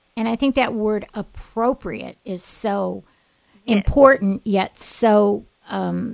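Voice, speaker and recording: With an American accent, a woman speaks very slowly at a medium pitch, the sound dry and close with no echo. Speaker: radio host and attorney. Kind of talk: radio interview. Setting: studio. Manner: animated.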